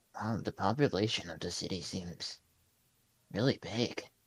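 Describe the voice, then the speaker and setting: A man's put-on character voice, fairly low in pitch. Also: moderate pace. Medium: actual play. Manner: hesitant, rambling.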